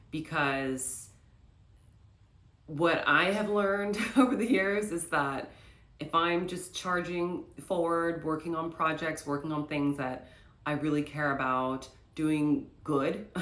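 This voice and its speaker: Very deep, low pitch from a woman, very slow pace, long and frequent pauses, audible room echo. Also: ordinary pitch variation. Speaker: lifestyle vlogger. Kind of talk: casual vlog talk to camera.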